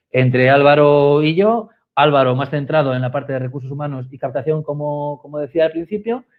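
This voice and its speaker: A man with a Spanish accent and a fairly high pitch. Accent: Spanish (Spain). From Spain. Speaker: communications director, webinar co-host. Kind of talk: webinar conversation. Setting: live online webinar, remote.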